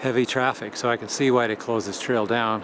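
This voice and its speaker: Noticeable background noise runs under this clip. A man speaks at medium pitch and a moderate pace. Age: 60s. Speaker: hiking vlogger. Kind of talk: casual vlog narration. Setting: outdoors on a hiking trail. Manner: hesitant, many fillers.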